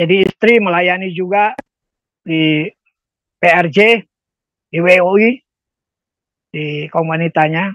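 A man speaks at a very slow pace in a high voice, with ordinary pitch variation, long and frequent pauses, a dry sound with no echo, and a quiet background. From Indonesia, Jakarta (Ambonese family); Indonesia. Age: 70s. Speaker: former rock band vocalist, prayer minister; prayer minister. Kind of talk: testimony; interview answer. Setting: video call. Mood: reflective, emotional, religious. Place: home room. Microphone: video call.

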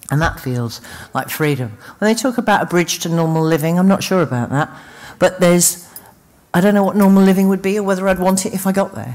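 A woman with a London accent at a very fast pace, medium pitch and lively intonation. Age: 50s. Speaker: recovering addict, speaker. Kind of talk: recovery testimony. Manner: halting.

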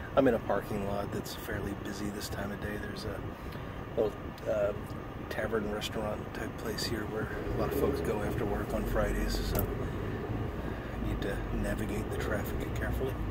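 Through loud background noise, a man speaks at a fairly quick pace. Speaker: cigar vlogger. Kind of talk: casual vlog chat. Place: car. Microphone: phone near.

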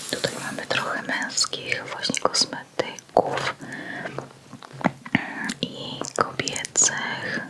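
Someone whispers at a very slow pace with long, frequent pauses. Background noise is noticeable. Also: woman. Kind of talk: ASMR store flyer discussion, casual talk. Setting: close microphone, studio. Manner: soft whispered, slow, relaxing.

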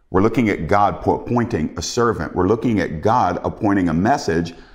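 The background stays quiet. A man's voice is heard. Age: 50s. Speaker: preacher. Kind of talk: sermon. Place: home room.

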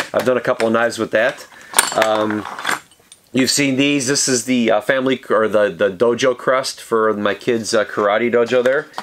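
Against noticeable background noise, a man talks at a moderate pace with ordinary pitch variation. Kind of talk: casual product show-and-tell. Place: workshop.

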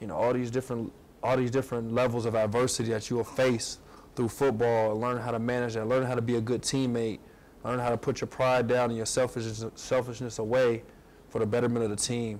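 Speaking very fast, a man with an American accent keeps a monotone, flat intonation. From Ohio. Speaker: pro football player. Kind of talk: fan event Q&A. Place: hall. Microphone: lapel.

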